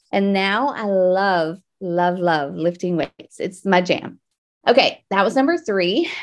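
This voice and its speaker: An animated woman with a medium pitch speaks at a fairly slow pace. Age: 40s. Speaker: faith and wellness podcast host. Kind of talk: solo podcast monologue.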